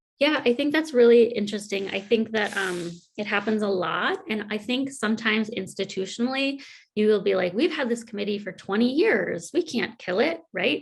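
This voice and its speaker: A woman's fairly high-pitched, unremarkable speaking voice, with lively intonation at a moderate pace. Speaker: workshop presenter on committee meetings. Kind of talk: virtual conference workshop. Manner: casual, many fillers.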